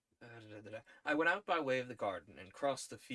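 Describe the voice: This plain reading aloud carries ordinary pitch variation.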